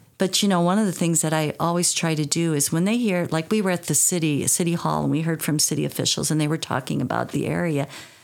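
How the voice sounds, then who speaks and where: A woman with an American accent talks very fast at a fairly low pitch, with hardly any pauses. Her loudness stays very even while her pitch varies in an ordinary way. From US Midwest, rural northeast Iowa. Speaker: retired teacher, youth program director. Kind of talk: podcast interview.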